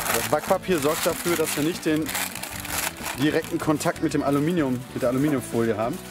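The speech moves at a moderate pace over clear background music, with a dry sound and no echo. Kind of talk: cooking tutorial. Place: garden.

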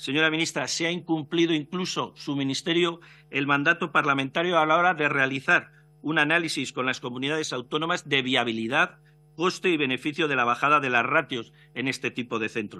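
A man talks at a fairly quick pace with a fairly high pitch. His tone is bright and sharp, with ordinary pitch variation. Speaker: opposition deputy. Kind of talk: parliamentary speech, defending family choice in education. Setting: parliamentary committee hearing. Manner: earnest, formal, measured. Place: hall. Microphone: podium.

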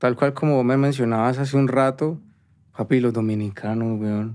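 With a Cali accent, a man talks at a moderate pace and medium pitch with fairly even intonation, on a very clean recording with a silent background. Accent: Colombian Caleño Spanish. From Colombia, Cali. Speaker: musician and producer. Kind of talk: casual interview chat.

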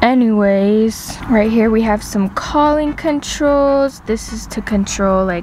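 A woman talks at a very slow pace over light background noise, the sound dry with no echo. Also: ordinary pitch variation. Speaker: vlogger showing her new car. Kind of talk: casual vlog chat. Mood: excited, chatty. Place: car. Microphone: phone near.

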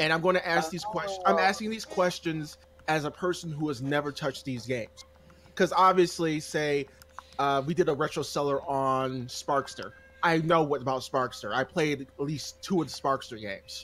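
Here is a man with a fairly high pitch. He talks at a moderate pace with ordinary pitch variation. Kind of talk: casual chat. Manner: animated.

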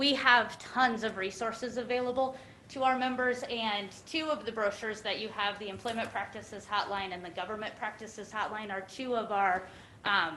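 A woman with a fairly high pitch and ordinary pitch variation talks at a moderate pace, with noticeable background noise and audible room echo in the recording. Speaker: insurance pool deputy director presenting to county commission. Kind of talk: formal presentation at public meeting. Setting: county commission meeting room.

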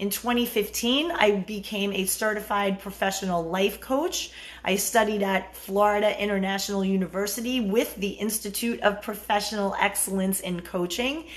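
Barely pausing, a woman with an American accent speaks at a moderate pace and medium pitch with ordinary pitch variation. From New York, Bronx and Long Island; New York. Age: 50s. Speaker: dating and relationship coach; dating coach. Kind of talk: live-stream Q&A monologue. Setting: live stream. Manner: casual, with fillers. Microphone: phone near.

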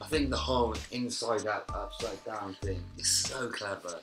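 Over clear music in the background, a man with an English accent talks at a moderate pace with lively intonation. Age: 30s. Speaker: sneaker and gaming vlogger. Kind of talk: casual unboxing talk to camera. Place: home room.

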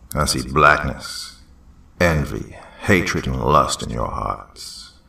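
A man growls in a put-on character voice, very deep and raspy, with a menacing tone. He speaks at a fairly slow pace. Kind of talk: horror story reading. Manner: menacing, accusatory, preaching.

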